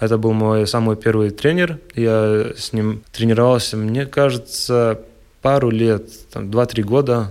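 With fairly level intonation, a man talks very slowly. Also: medium pitch for a man. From Latgale, Latvia (Ludza). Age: 20s. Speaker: handball player. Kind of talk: radio interview.

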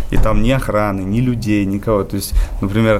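A man's fairly low voice at a fairly quick pace with ordinary pitch variation, amid noticeable background noise and audible room echo. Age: 20s. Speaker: rooftopper and photographer. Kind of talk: radio interview.

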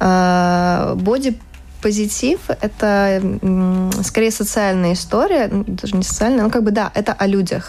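A woman speaks at a medium pitch and a fairly slow pace, with fairly even intonation and very even loudness. She leaves long, frequent pauses. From Latvia. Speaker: fashion illustrator. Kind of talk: casual interview.

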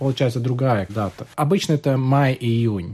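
The man's voice has a dark, mellow tone and sits at a fairly high pitch. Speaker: Buddhist practitioner. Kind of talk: radio panel discussion.

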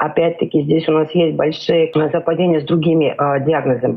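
Her pitch very deep and low, a woman delivers her words at a moderate speed. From Georgia. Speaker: psychodiagnostician. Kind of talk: radio interview.

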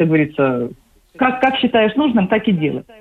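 Her pitch swings very widely as this woman talks. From Ukraine, Odesa. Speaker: psychological counselor. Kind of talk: radio interview. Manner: hesitant, many fillers.

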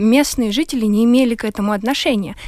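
A high-pitched woman speaks very fast with ordinary pitch variation. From Ukraine, Luhansk. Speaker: war refugee and activist. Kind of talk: radio discussion.

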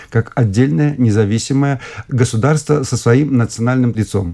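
Dark and mellow in tone, a man's voice sits at a medium pitch with ordinary pitch variation. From Belarus. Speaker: linguist, academician. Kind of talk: radio interview. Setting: studio.

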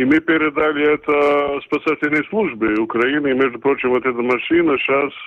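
With a Latvian accent, a man talks in a fairly even intonation. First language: Latvian (speaking Russian). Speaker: town mayor. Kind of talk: radio interview. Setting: remote call.

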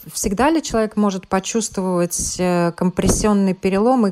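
Against noticeable background noise, a woman speaks at medium pitch with ordinary pitch variation. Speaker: radio health show host. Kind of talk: news reading.

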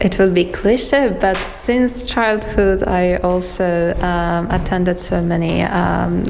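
A woman with a Persian accent speaks very slowly at a medium pitch, with ordinary pitch variation and hardly any pauses. The room echo is audible, and background noise is noticeable. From Iran, Tehran. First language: Persian (speaking Russian). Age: 20s. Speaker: artist. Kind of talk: interview.

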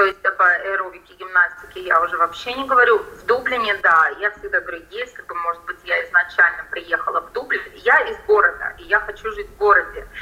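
A woman talks at a fairly quick pace with hardly any pauses and big swings in loudness, over noticeable background noise. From Latvia, Riga. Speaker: salon owner, emigrant. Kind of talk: interview.

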